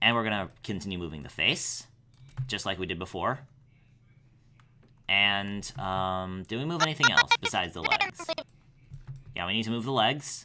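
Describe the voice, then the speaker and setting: Over a silent background in a very clean recording, a man talks in a fairly low-pitched voice with a bright, sharp tone. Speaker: animator. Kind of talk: tutorial. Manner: halting, stuttering; fast.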